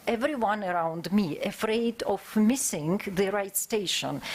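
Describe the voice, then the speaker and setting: The speech moves fairly slowly. Its intonation rises and falls in a lively way. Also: woman. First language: not English. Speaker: conference speaker, historian. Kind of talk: academic conference presentation. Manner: halting, many filler sounds.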